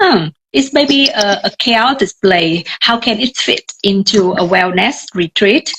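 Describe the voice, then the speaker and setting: Speaking at a fairly slow pace, a woman talks with a Vietnamese accent at a medium pitch. The sound is dry and close, with no echo. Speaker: tour guide. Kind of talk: live video chat. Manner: hesitant, many fillers.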